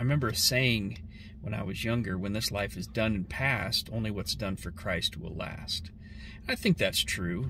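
A man with a fairly low pitch and vocal fry has a bright, sharp tone, ordinary pitch variation and a moderate pace. The sound is dry with no echo, and there is noticeable background noise. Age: 40s. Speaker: vlogger. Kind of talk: personal reflection monologue. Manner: halting. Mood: thoughtful, reflective. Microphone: phone near.

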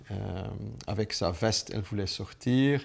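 A man talks with a fairly low pitch and ordinary pitch variation. His pace is fairly slow. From Flanders, Belgium. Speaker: businessman. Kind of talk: personal testimony to camera. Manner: hesitant, many filler sounds. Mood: warm, reflective. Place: home room.

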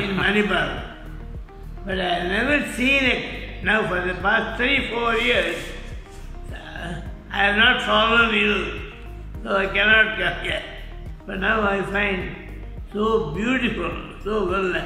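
Faint music plays behind a high-pitched man in a room with audible echo. He speaks at a fairly slow pace with long, frequent pauses. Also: ordinary pitch variation. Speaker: vaccine recipient. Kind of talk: interview answer. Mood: pleased, appreciative. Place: hall. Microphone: phone near.

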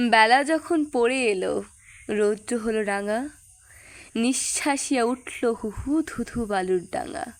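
A woman with a fairly high pitch has an unremarkable speaking voice. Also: lively intonation. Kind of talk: poetry reading.

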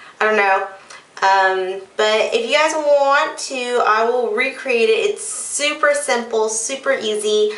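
The voice moves at a very slow pace with very even loudness and ordinary pitch variation, in a room with audible echo. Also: woman, high pitch for a woman. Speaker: beauty vlogger. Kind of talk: casual vlog chat. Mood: playful, a bit unsure. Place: bathroom. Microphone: phone near.

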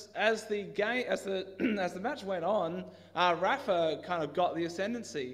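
A man's voice against a quiet background. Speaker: preacher. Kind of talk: sermon. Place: church. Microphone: headset.

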